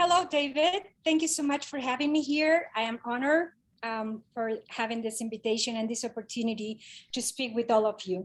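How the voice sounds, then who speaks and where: Lively intonation marks this speech in a Spanish accent at a moderate pace. The recording is very clean, with a silent background. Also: woman. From Oaxaca, Mexico. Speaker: cultural historian. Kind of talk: presentation.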